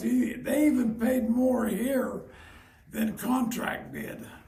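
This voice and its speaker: A man with an American accent at an extremely high pitch, monotone, flat intonation and a very slow pace, amid audible room echo and noticeable background noise. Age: 90s. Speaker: retired miner. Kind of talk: oral history interview.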